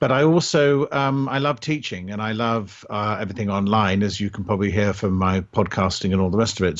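In an RP accent, a man speaks at a moderate pace with a fairly low pitch. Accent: English (RP-like). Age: 50s. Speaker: entrepreneur and online instructor. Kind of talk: interview. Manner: halting, many fillers and repeats.

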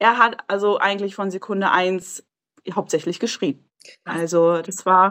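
With fairly even intonation, an unremarkable speaking voice proceeds at a fairly slow pace. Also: woman, medium pitch for a woman. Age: 20s. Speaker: mother sharing her experience. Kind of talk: casual interview chat.

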